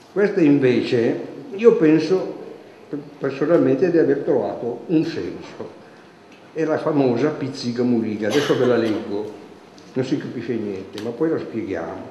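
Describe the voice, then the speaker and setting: Lively intonation and long, frequent pauses mark this moderate-paced speech, heard with audible room echo and light background noise. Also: man, fairly high pitch for a man. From Piedmont, Italy. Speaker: dialect poet and local storyteller; dialect poet, local storyteller. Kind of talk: poetry reading and folk storytelling. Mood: relaxed, lightly humorous. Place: stage. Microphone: podium.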